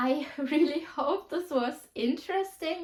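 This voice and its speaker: Here a woman speaks with a German accent. Her pitch varies in an ordinary way. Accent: German accent, noticeable. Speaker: youtuber. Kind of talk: casual chat. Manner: casual, filler-heavy.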